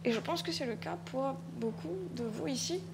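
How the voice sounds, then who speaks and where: Spoken at a moderate pace with a Mauritian accent, the voice makes very wide pitch swings, and there is audible room echo. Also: woman. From Mauritius. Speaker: writer and stage artist. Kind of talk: panel discussion. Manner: halting, with frequent repetitions.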